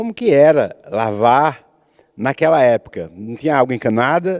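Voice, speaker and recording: A man speaks in an unremarkable speaking voice at a moderate pace, with lively intonation. The sound is dry and close, with no echo. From Pernambuco, Brazil (Arcoverde). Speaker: TV talk show host, poet. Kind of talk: interview. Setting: theatre stage.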